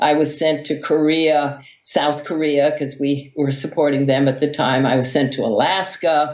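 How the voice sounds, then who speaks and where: A woman speaks in a very deep, low pitch with monotone, flat intonation and very even loudness. Her moderate pace carries audible room echo. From US, Hawaii. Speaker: vegan athlete and author. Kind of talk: interview storytelling.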